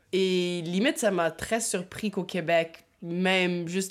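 This woman's voice sits at a fairly low pitch. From Ottawa, Ontario, Canada. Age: 20s. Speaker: interviewee, family member. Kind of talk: interview.

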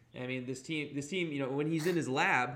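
A man speaks at a fairly quick pace. Audible room echo is present. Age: 20s. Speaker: sports podcast host. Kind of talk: casual chat.

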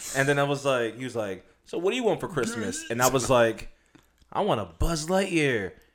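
Speaking at a moderate pace, a man uses an animated tone and a fairly high pitch, with very wide pitch swings. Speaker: podcast host. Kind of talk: casual banter.

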